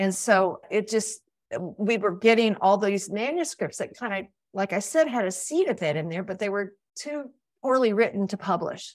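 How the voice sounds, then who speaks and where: On a very clean recording with a silent background, a woman with a normal speaking voice talks at a moderate pace and medium pitch with lively intonation. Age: 60s. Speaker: publisher and book coach. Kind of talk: interview.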